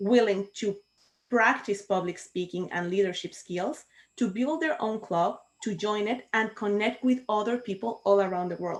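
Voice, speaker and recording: A woman speaks with a Spanish accent at a moderate pace. Her pitch is medium, with ordinary variation. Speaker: Toastmasters club co-founder. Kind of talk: panel discussion on video call.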